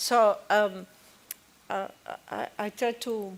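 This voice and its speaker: A woman with a non-native accent speaks at a fairly high pitch with monotone, flat intonation. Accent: non-native accent in every language. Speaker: business owner. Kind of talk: panel discussion. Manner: halting, frequent okay fillers.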